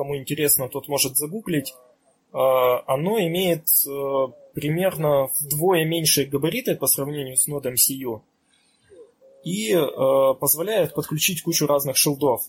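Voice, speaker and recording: Speaking at a fairly slow pace, a man leaves long, frequent pauses. His fairly high voice is somewhat breathy, with ordinary pitch variation. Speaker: electronics engineer. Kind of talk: technical explanation.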